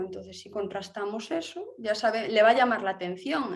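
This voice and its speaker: A woman with a Galician accent speaks at a fairly high pitch, her pitch varying in an ordinary way. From Galicia, Spain. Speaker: architect. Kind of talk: interview. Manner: halting, many fillers.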